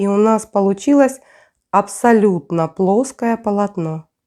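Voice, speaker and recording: A woman's dark, mellow voice at a medium pitch, with ordinary pitch variation and a fairly slow pace. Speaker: crochet tutorial creator. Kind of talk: tutorial. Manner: casual, conversational.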